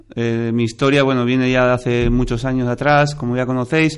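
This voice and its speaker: He has an ordinary speaking voice, pitched at a medium level for a man. His pace is moderate and his intonation fairly even. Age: 40s. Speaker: amateur triathlete, double amputee. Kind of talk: interview.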